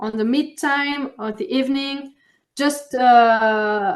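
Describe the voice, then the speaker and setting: A woman speaks with a French accent at a high pitch over a quiet background. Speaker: champagne producer. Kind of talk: interview. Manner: halting.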